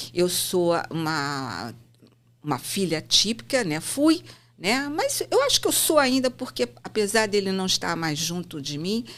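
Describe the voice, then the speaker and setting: A woman talks at a fairly slow pace in a medium-pitched voice. Her pitch swings very widely. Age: 60s. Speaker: psychomotor therapist and author. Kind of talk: interview conversation.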